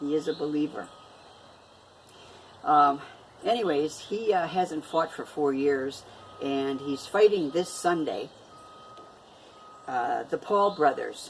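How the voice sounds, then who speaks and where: Over noticeable background noise, the speaker moves at a very slow pace with long, frequent pauses and lively intonation. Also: woman, very deep, low pitch for a woman. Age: 60s. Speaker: vlogger. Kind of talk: casual vlog talk. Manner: halting, many fillers.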